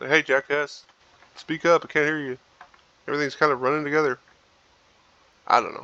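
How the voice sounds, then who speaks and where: Mumbling at a very fast pace with long, frequent pauses, a man with a fairly high pitch swings widely in loudness, the sound dry and close with no echo. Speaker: gaming youtuber. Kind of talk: gameplay commentary. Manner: casual.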